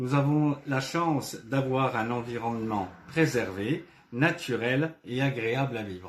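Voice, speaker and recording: A man speaks very slowly at a medium pitch. His pitch varies in an ordinary way. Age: 60s. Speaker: retired ambulance driver, local election candidate. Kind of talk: campaign presentation statement. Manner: formal, prepared.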